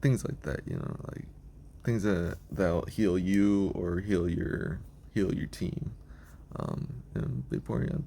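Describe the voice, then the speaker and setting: A man speaks at a very slow pace with a very deep, low pitch. His voice carries vocal fry. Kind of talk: casual talk to camera. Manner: hesitant, many fillers.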